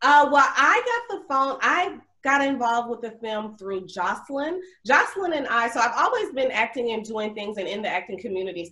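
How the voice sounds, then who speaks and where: Her intonation is lively. This woman has an Alabama accent. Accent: Southern US (Alabama). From US South, Mobile, Alabama. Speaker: actress and accountant. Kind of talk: casual interview.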